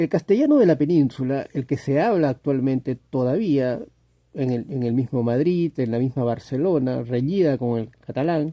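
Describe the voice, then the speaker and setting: In a dry, close sound with no echo, a man with a fairly high pitch and a dark, mellow tone speaks at a moderate pace with ordinary pitch variation. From Latin America. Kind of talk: casual monologue to camera. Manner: hesitant, repetitive, reflective.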